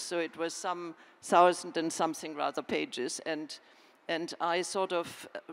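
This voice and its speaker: A woman with a slight German accent speaks at a fairly low pitch. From Germany. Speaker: historian and author. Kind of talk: panel discussion.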